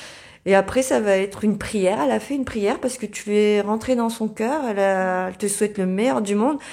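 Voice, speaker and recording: A woman with a northern French accent, dark and mellow in tone, medium in pitch with ordinary pitch variation, at a fairly quick pace with hardly any pauses, on a very clean recording with a silent background. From northern France, Dunkirk. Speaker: therapy client. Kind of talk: testimony. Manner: halting.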